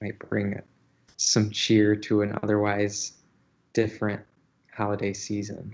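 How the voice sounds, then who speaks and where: The speaker goes at a fairly slow pace with long, frequent pauses and flat, monotone intonation. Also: man, fairly low pitch for a man. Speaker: agency staff presenting weekly livestream. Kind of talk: casual livestream chat. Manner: hesitant, many fillers.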